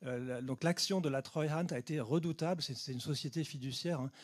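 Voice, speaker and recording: Against a silent background in a very clean recording, a man with a fairly high pitch speaks with fairly even intonation. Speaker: geographer giving a talk. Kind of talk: lecture Q&A answer. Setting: conference hall with audience. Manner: fast.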